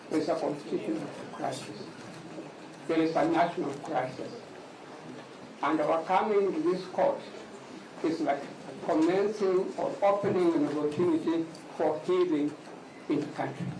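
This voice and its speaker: A loud man at a high pitch, with fairly even intonation and long, frequent pauses, plus audible room echo and noticeable background noise. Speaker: lawyer. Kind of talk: court argument. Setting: courtroom. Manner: formal.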